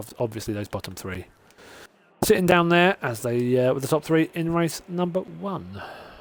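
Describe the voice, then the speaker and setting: Speaking at a moderate pace, a man with a British accent swings his pitch very widely. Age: 30s. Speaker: sim racing commentator. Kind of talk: live commentary. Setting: live stream.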